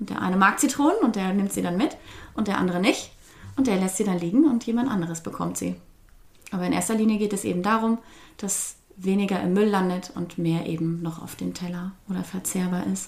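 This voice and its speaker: Somewhat breathy, a woman with a medium pitch speaks at a fairly quick pace, her pitch varying in an ordinary way. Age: 30s. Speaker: teacher and food-sharing volunteer. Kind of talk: interview.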